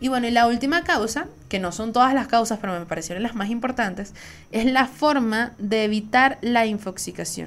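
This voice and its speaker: On a very clean recording with a silent background, a woman with a Venezuelan accent speaks at a moderate pace and a fairly high pitch, with ordinary pitch variation. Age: 20s. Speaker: podcast host. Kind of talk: solo casual monologue.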